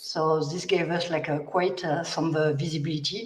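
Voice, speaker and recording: A woman with a strong French accent speaks in a very deep, low voice with ordinary pitch variation. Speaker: biomechanics researcher. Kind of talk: panel discussion. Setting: livestream.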